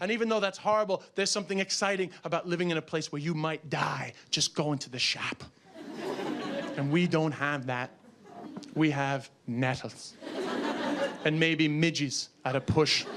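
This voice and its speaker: Over noticeable background noise, a man with an American accent speaks at a fairly slow pace in a fairly high pitch, with an animated tone and lively intonation. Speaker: stand-up comedian. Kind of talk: stand-up comedy routine to a live audience. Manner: animated, comedic, storytelling with shouted outbursts.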